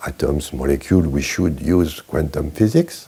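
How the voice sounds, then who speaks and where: With a French accent, a man speaks at a fairly slow pace in a very deep, low pitch with vocal fry and ordinary pitch variation. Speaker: chemistry professor emeritus. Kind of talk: interview answer. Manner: humorous, humble.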